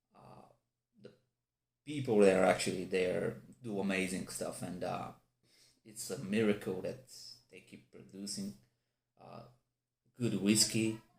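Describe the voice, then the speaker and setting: At a fairly slow pace with long, frequent pauses, the speaker uses a non-native accent, ordinary pitch variation, and big swings in loudness. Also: man, fairly low pitch for a man. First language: not English. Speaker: whisky reviewer. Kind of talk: product review. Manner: halting; animated.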